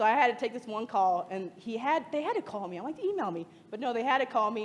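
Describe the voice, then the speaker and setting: A woman with an American accent, fairly high pitch, an animated tone, lively intonation and a very fast pace. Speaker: freelance lettering designer. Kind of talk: conference talk.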